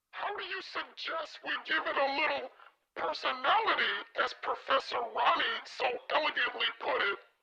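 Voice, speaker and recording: A cartoonish character voice at a high pitch goes at a moderate pace. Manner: gentle, supportive.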